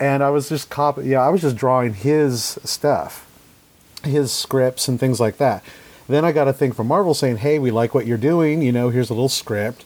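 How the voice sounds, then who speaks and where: With an American accent, this man has a normal speaking voice, medium pitch, ordinary pitch variation, very even loudness and a moderate pace. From Idaho, US. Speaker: comic artist. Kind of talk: casual interview.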